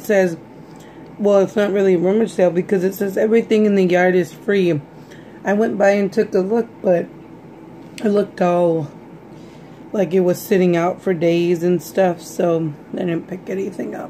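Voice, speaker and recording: Light background noise sits under a woman talking at a moderate pace, her intonation fairly even. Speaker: vlogger. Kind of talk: casual vlog chat. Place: kitchen. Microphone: phone near.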